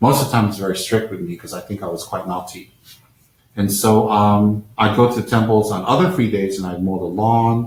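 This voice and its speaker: Speaking at a fairly quick pace, a man uses a fairly low pitch with ordinary pitch variation. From Taiwan, then New Jersey, US. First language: Chinese. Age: 50s. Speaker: Buddhist lama. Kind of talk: live-stream talk. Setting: live-stream over unstable connection. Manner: halting with fillers.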